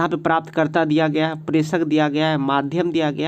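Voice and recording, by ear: A man with a slightly mellow tone, fairly high pitch and fairly quick pace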